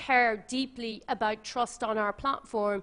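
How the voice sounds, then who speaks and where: A woman with an Irish accent, monotone, flat intonation and a moderate pace. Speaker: social media company representative, former journalist. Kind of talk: panel discussion talk.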